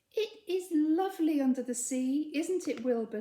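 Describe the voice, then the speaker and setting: A woman's squeaky, put-on character voice, high-pitched, at a moderate pace. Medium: read story.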